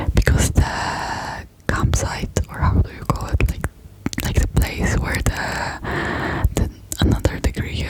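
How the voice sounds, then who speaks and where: Very slow whispered speech amid noticeable background noise. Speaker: ASMR creator. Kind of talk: ASMR rambling talk to camera. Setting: close-up microphone.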